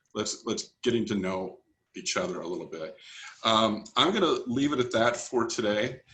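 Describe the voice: A man's bright, sharp voice at a fairly low pitch, moderate in pace, with audible room echo. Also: ordinary pitch variation.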